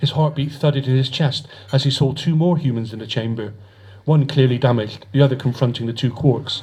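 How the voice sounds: a voice reading naturally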